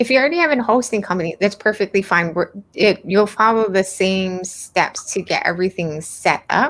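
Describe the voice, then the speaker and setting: Mumbling at a moderate pace with hardly any pauses, a woman with a slight Hawaiian accent uses a medium pitch, lively intonation and very even loudness, on a very clean recording with a silent background. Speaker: web design instructor. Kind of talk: live stream Q&A. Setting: live stream.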